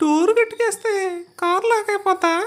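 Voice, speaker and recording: A put-on character voice with a squeaky sound. The intonation stays fairly even. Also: woman, extremely high pitch for a woman. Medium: comedy sketch. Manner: terse, dry, sarcastic.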